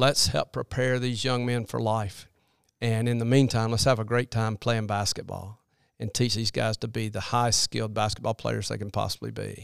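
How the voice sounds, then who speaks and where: Here is a man with a plain, everyday voice and an American accent, medium in pitch, speaking at a moderate pace with fairly even intonation. The recording is very clean with a silent background and a dry, close sound with no echo. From US South (Alabama, Birmingham area). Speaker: children's minister and basketball character coach. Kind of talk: interview.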